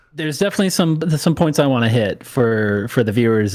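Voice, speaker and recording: Speaking at a fairly quick pace with ordinary pitch variation, a man with an Upper Midwest accent is heard on a very clean recording with a silent background. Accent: Upper Midwest American. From US Midwest, Wisconsin. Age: 30s. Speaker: airline pilot and gaming streamer. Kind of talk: casual podcast interview.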